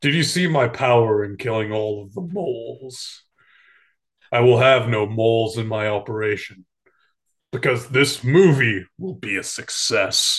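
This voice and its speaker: In a quiet background, a man speaks at a medium pitch. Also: moderate pace, ordinary pitch variation. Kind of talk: improvised comic movie dub. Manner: grandiose, domineering.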